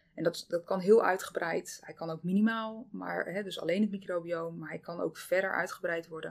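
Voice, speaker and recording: Speaking at a moderate pace with hardly any pauses, a woman with an ordinary speaking voice and medium pitch shows big swings in loudness. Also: fairly even intonation. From Zeeland, Netherlands. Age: 30s. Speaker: dietitian. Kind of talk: casual interview.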